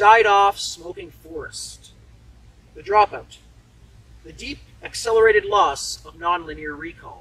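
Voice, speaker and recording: Pausing often and at length, a man speaks at a fairly slow pace with big swings in loudness. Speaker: poet. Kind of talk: poem reading.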